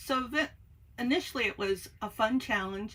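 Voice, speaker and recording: With an American accent, a woman speaks at a fairly high pitch and a fairly slow pace, her intonation lively. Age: 60s. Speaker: craft YouTuber. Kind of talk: casual chat. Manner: hesitant, many filler words.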